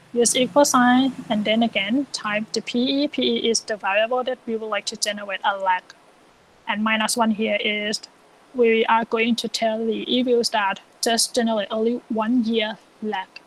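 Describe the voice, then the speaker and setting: A woman speaks at a fairly high pitch with monotone, flat intonation. The sound is dry and close with no echo, though background noise is noticeable. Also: moderate pace. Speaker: econometrics teaching assistant. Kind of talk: software tutorial lecture.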